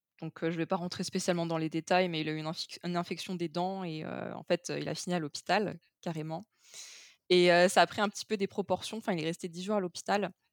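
A woman's plain, everyday voice, fairly low in pitch and fairly quick, with fairly even intonation, in a very clean, dry, close recording with no echo and a silent background. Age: 20s. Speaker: project manager sharing a breakup story. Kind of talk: testimony.

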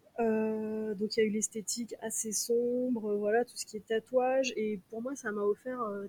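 Music plays in the background. A woman speaks in a flat, monotone way. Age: 30s. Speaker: concert organizer. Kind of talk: casual chat.

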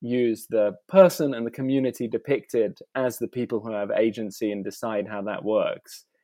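A man speaks with an English accent at a moderate pace. His pitch varies in an ordinary way. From England. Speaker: artist. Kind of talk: interview. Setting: video call. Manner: hesitant, many fillers.

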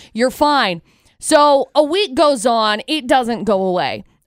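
At a fairly slow pace, a woman speaks in a high voice with very wide pitch swings, in a very clean recording with a silent background. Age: 20s. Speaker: morning radio co-host. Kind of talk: casual chat. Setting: studio.

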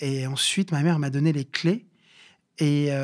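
The man talks fairly slowly, his fairly high voice held to fairly even intonation. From Paris suburbs (Bobigny). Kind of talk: interview. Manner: halting, many fillers and repetitions.

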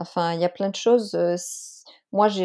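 Against a quiet background, a woman of medium pitch speaks at a fairly quick pace in a dark, mellow tone with fairly even intonation. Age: 30s. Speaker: stepmother coaching founder. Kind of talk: interview testimony. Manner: hesitant, many fillers.

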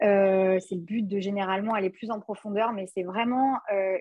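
In an ordinary speaking voice, a woman talks at a medium pitch and moderate pace with fairly even intonation. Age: 20s. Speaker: couples therapist. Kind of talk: casual interview.

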